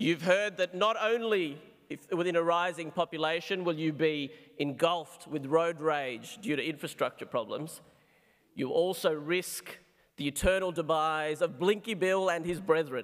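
With an Australian accent, a man talks at a moderate pace in a high pitch with ordinary pitch variation, the background quiet. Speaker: psychiatrist; speaker. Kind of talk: debate speech; formal debate speech. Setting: stage with audience. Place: hall. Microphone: podium.

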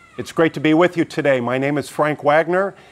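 Talking at a very fast pace, the man lets his pitch vary an ordinary amount. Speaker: pastor. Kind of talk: church announcements. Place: street. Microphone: lapel.

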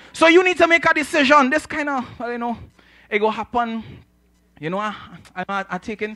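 In a raised, projected voice, a man talks at a fairly quick pace with a bright, sharp, animated tone and lively intonation against a quiet background. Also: dry sound with no echo. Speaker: preacher. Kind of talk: sermon. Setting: church with congregation. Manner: animated, call-and-response; conversational with humor. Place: church. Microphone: handheld.

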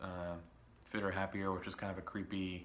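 A man's very deep, low voice has a bright, sharp tone and flat, monotone intonation, with audible room echo. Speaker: vinyl record collector YouTuber. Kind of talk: casual monologue video.

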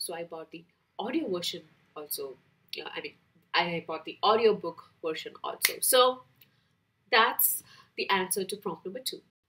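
Lively intonation with an Indian accent, a bright, sharp tone, moderate pace, long and frequent pauses, big swings in loudness and light background noise. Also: woman, medium pitch for a woman. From Kerala, India. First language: Malayalam. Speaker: book vlogger. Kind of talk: casual chat, book tag video. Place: home room.

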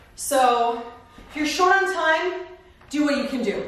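A woman with an American accent talks in a high pitch and an upbeat, energetic tone. Strong room echo surrounds her voice. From California. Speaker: fitness instructor. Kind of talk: guided workout instruction, cueing exercises over the routine. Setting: home workout filmed in San Diego. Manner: upbeat, encouraging, energetic coach cueing moves. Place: home room.

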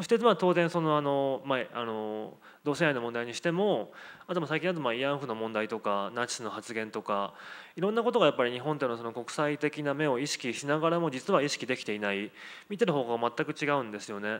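In a normal speaking voice, a man talks at a fairly quick pace with a fairly high pitch and lively intonation. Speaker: sociologist; panelist. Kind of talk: panel discussion. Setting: stage with audience. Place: hall. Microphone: handheld.

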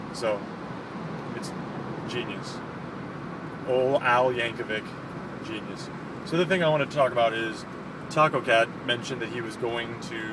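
Noticeable background noise sits behind a man's voice. The sound is dry, with no echo. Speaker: vlogger. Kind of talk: casual vlog chat. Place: car. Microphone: phone near.

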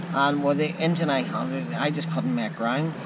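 A man's moderate-paced speech competes with loud noise in the background. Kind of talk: casual vlog chat. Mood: frustrated, disappointed. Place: boat. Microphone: phone near.

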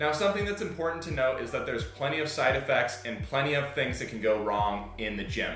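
With music in the background and audible room echo, a man talks at a fairly quick pace. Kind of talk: tutorial. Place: home room.

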